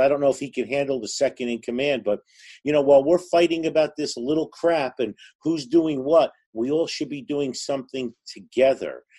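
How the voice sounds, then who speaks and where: A man with a New Jersey accent, fairly high in pitch with a dark, mellow tone, at a fairly quick pace against a quiet background. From New Jersey, Newark. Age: 50s. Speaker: gun range owner. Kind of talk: casual chat.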